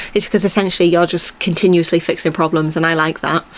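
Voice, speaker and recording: Over noticeable background noise, a woman speaks at a fairly low pitch with flat, monotone intonation. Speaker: podcast host. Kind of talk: casual solo monologue. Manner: rambling, casual with filler words.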